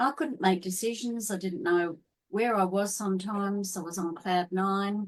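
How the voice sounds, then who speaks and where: A woman speaks at a fairly slow pace with an Australian accent, her pitch varying in an ordinary way. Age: 60s. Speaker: holistic health coach. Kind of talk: interview.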